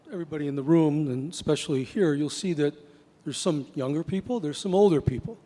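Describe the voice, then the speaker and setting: A man with an ordinary speaking voice talks at a fairly quick pace in a fairly high pitch, with ordinary pitch variation. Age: 60s. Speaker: real estate agent. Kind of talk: panel discussion.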